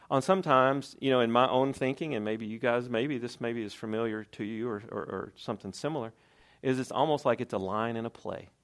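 A man with a Southern US accent at medium pitch and a fairly quick pace, with ordinary pitch variation, in a very clean recording with a silent background. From Tennessee. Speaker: lay preacher. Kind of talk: sermon. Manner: halting.

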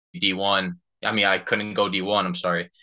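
A man in a New Jersey accent, fairly low in pitch, bright and sharp in tone, monotone and flat in intonation, over a quiet background. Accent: New Jersey American. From New Jersey, US. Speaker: professional soccer player. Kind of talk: casual interview.

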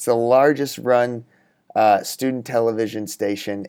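Speaking at a moderate pace with fairly even intonation, a man has a plain, everyday voice with an American accent, recorded very cleanly against a silent background. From Texas. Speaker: actor. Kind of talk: casual chat.

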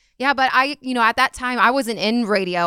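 A woman with a bright, sharp tone and ordinary pitch variation talks at a fairly quick pace, the sound dry and close with no echo on a very clean recording with a silent background. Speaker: comedy podcast co-host, former radio phone screener. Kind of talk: casual interview conversation. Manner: laughs often.

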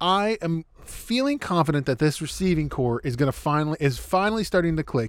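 This man has an unremarkable speaking voice, fairly high in pitch, with lively intonation. He talks at a fairly quick pace with hardly any pauses. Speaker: podcast host and sports fan. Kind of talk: casual chat.

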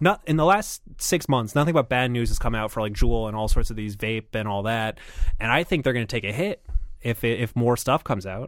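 A man with an unremarkable speaking voice and lively intonation talks fairly quickly, recorded very cleanly against a silent background. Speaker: producer, guest. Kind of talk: casual comedy chat about investing.

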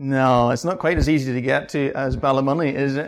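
A man in a Northern Irish accent at a moderate pace. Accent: Northern Irish (Ulster). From Northern Ireland, County Antrim. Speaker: mission society worker. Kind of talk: church talk.

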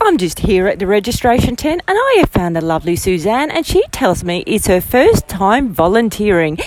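With an Australian accent, a woman speaks at a moderate pace with very wide pitch swings. Background noise is noticeable. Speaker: roving reporter. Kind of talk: interview. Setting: outdoors.

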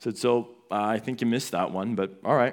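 This man has an ordinary speaking voice, pitched in the medium range with ordinary pitch variation. He talks at a fairly quick pace on a very clean recording with a silent background. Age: 20s. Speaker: pastor. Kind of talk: sermon. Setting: church.

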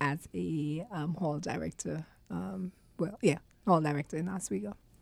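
A woman is talking. The tone of her voice is dark and mellow. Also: very clean recording, silent background. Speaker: university staff member. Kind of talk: casual chat. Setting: studio.

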